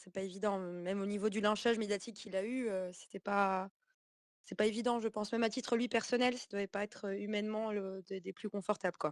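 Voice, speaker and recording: A woman's medium-pitched voice at a fairly quick pace, monotone and flat, with a dry, close sound and no echo. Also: quiet background. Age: 20s. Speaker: activist. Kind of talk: online community call. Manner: halting.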